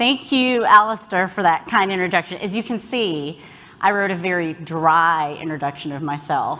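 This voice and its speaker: A woman speaks with a slight Southern US accent and a fairly low voice. Her pace is moderate and her intonation lively. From US South, Alabama. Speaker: health policy executive, keynote speaker. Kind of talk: conference talk. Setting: stage with audience.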